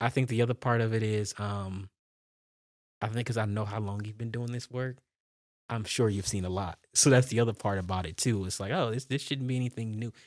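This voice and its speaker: A man's ordinary speaking voice, medium in pitch, at a fairly quick pace with fairly even intonation, on a very clean recording with a silent background. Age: 20s. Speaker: foster care advocate. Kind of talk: interview. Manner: conversational.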